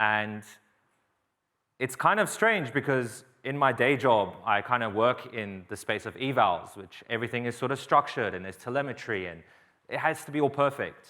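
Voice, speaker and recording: Bright and sharp in tone, the voice carries an Australian accent at a moderate pace. Loudness swings widely, pitch varies in an ordinary way, and the recording is very clean with a silent background. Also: man, medium pitch for a man. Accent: somewhat Australian, picked up in Australia. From England, East London. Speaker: software engineer, open source maintainer. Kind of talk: conference talk. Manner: casual, with fillers.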